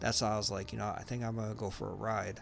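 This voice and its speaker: The voice belongs to a man. His speech carries audible room echo. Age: 40s. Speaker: gaming live streamer. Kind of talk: casual chat. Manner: halting, many fillers.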